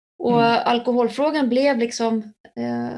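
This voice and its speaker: The speaker is a woman. Her voice is high-pitched. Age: 50s. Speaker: alcohol prevention educator. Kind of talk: casual interview.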